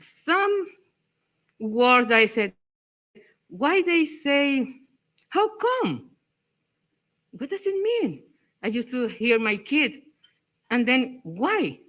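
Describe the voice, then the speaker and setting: A woman with a strong coastal Mexican accent speaks at a very slow pace, her bright, sharp voice moving through very wide pitch swings. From Mexico, Acapulco (Guerrero coast). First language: Spanish. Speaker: English teacher in workshop. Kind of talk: workshop discussion.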